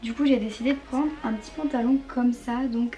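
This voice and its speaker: A woman at a moderate pace with fairly even intonation and music in the background. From northern France. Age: young. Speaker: fashion youtuber. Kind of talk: try-on haul.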